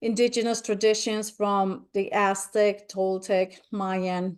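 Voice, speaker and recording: A woman in a Spanish accent, medium pitch, fairly slow pace and monotone, flat intonation, over a quiet background. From Spain. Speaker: spiritual nature speaker. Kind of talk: webinar presentation.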